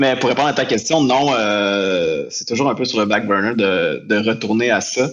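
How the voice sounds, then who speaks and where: A man at a medium pitch with ordinary pitch variation, fairly slow, with hardly any pauses, over noticeable background noise. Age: 30s. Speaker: photographer and colorist. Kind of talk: casual interview.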